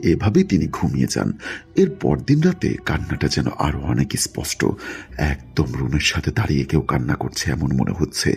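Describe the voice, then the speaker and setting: Noticeable background noise fills the recording. Over it, a man speaks with lively intonation. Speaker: radio-style horror story narrator. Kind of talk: reading a listener's letter as a story.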